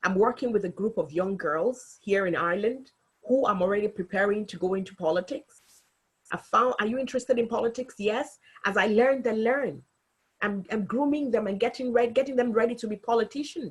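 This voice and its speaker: A woman speaks at a fairly quick pace with a fairly high pitch, ordinary pitch variation and a somewhat breathy quality. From Africa. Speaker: local politician. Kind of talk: webinar talk.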